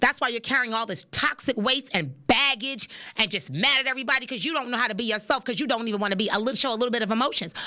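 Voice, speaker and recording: Loud and very fast, a woman talks at a high pitch with hardly any pauses. Her tone is bright and sharp, with ordinary pitch variation. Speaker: podcast host. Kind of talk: casual monologue. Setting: studio.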